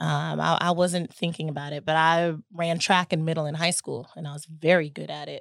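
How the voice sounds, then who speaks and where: A woman with an American accent talks at a moderate pace in a very deep, low voice, flat and monotone, with hardly any pauses and big swings in loudness, on a very clean recording with a silent background. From US South, Chattanooga, Tennessee. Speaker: navy veteran. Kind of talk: interview. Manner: halting.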